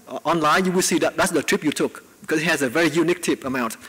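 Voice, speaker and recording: A man talks at a high pitch while noticeable background noise carries on. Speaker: researcher giving invited talk. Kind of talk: Q&A after lecture. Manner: fast.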